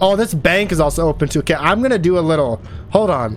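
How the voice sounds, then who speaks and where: Over noticeable background noise, a man with a high-pitched voice talks at a moderate pace. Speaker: gaming streamer. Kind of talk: let's play commentary. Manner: loud; animated.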